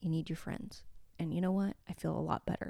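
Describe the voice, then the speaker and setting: A woman is speaking. Her voice has a dark, mellow tone. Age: 30s. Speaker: podcast host. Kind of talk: casual monologue. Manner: quiet; animated.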